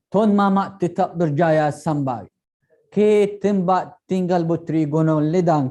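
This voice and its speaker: In an Arabic accent, a man speaks at a very slow pace. His pitch is high, with a dark, mellow tone. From Yemen. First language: Arabic (speaking Indonesian). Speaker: PhD student. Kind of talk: storytelling. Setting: online live event.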